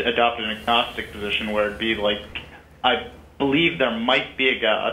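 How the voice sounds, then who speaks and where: There is audible room echo as a man talks at a moderate pace with ordinary pitch variation. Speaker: caller. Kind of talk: casual chat. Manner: halting.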